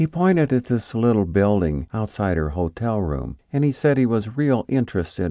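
Dark and mellow in tone, a man speaks at a moderate pace with lively intonation, in a dry, close sound with no echo and a quiet background. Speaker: audiobook narrator. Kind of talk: dramatic audiobook narration, scripted. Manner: grave, measured, dramatic.

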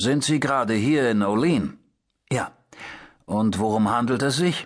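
A man at medium pitch, moderate pace, with ordinary pitch variation. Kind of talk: audiobook narration. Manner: first-person noir narration, dry and matter-of-fact; shifts into character voices for dialogue.

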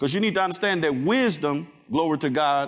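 At a moderate pace, a man speaks in a fairly high voice with an animated tone and ordinary pitch variation. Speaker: preacher. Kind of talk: sermon. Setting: church. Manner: animated, call-and-response, rallying the congregation; emphatic, repetitive.

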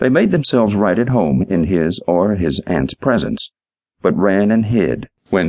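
Over a quiet background, the speaker reads aloud in a natural voice with lively intonation.

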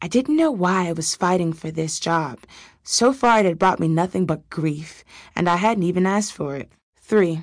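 Against a quiet background, a woman talks in a normal speaking voice at a moderate pace. Her pitch is fairly low, with ordinary variation. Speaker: audiobook narrator.

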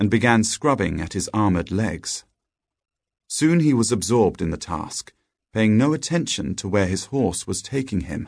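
Against a quiet background, a man with an unremarkable speaking voice talks at a moderate pace and medium pitch, his intonation lively. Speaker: audiobook narrator. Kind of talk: scripted storybook narration, read aloud. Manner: gentle, storytelling cadence with playful character dialogue.

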